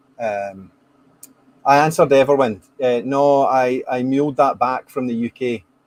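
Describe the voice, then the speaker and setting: A man speaks at a moderate pace with a Scottish accent. His pitch is medium and his intonation fairly even. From Scotland. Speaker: whisky podcast host. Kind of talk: casual chat.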